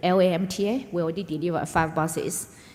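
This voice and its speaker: A woman's fairly low voice with ordinary pitch variation at a moderate pace, with audible room echo and noticeable background noise. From China, Yunnan. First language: Mandarin Chinese. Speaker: business executive. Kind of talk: onstage interview. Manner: halting, many fillers.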